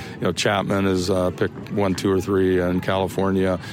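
Against noticeable background noise, a man talks with a fairly low pitch. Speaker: softball coach. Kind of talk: post-game radio interview. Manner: casual, hesitant, repeating words.

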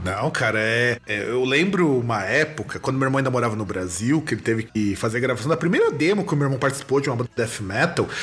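A man rushes along at a very fast pace with hardly any pauses. His intonation is lively, and background noise is noticeable. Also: medium pitch for a man. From Rio Grande do Sul, Brazil. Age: 30s. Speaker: podcast host and music teacher. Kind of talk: casual interview chat.

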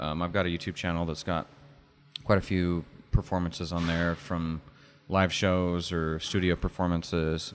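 A man with an American accent speaks at a moderate pace in a very deep, low pitch. Music plays in the background. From Utah (Oakley). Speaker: musician and cigar shop owner. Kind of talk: casual interview. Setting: basement studio.

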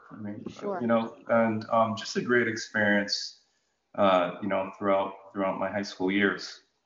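A man at a moderate pace, with an American accent. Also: big swings in loudness. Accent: General American with faint Jamaican roots. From Jamaica, then Connecticut. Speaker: utility executive, retired National Guard officer. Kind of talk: interview conversation.

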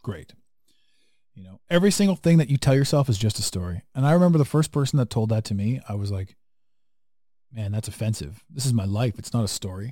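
Very fast and somewhat breathy, the voice has a dark, mellow tone and lively intonation. Its loudness swings widely. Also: man, medium pitch for a man. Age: 40s. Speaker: podcast host. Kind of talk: casual chat. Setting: video call. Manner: animated.

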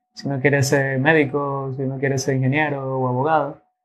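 This man talks at a fairly quick pace in a fairly high voice, his intonation monotone and flat. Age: 20s. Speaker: sommelier. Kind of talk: interview.

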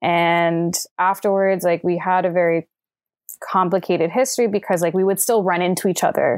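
In a very clean recording with a silent background, a woman of medium pitch speaks in an unremarkable speaking voice with fairly even intonation and very even loudness. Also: moderate pace. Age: 20s. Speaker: film production worker, relationship podcast guest. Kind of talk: casual interview chat.

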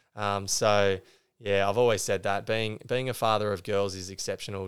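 In a very clean recording with a silent background, a man with an Australian accent and a fairly low pitch talks at a fairly quick pace. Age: 30s. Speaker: former high jumper and teacher. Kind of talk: interview. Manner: halting.

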